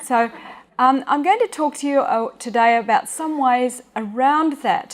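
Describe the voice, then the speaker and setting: A woman's high-pitched voice with an Australian accent, lively intonation and a fairly slow pace. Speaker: speech and hearing specialist. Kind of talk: public talk. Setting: stage with audience.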